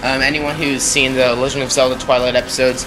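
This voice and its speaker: A man's medium-pitched voice at a fairly quick pace, amid noticeable background noise. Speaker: gaming commentator. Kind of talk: casual gameplay commentary. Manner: occasional stuttering, hesitant fillers.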